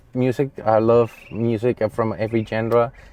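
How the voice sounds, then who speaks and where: A man's voice in a Spanish accent. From Colombia. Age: 30s. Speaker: real estate agent. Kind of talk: casual personal vlog.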